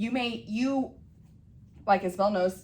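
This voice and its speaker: A woman speaks with ordinary pitch variation, and the room echo is audible. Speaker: beauty business educator. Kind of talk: class lecture. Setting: classroom with students. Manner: casual, many fillers.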